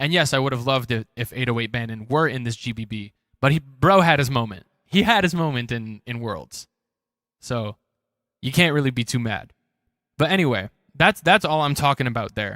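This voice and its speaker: Speaking with an American accent, a man has a medium pitch, a bright, sharp tone and lively intonation, with long, frequent pauses. The recording is very clean and dry, close with no echo, over a silent background. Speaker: beatboxer. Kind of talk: commentary on own battle replay. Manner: casual, repetitive.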